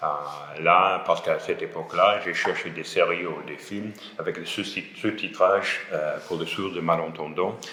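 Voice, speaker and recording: Over noticeable background noise and audible room echo, a man speaks fairly slowly with big swings in loudness. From Scotland, Glasgow. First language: English (speaking French). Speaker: French language student. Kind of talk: interview. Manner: halting, with hesitations and repetitions.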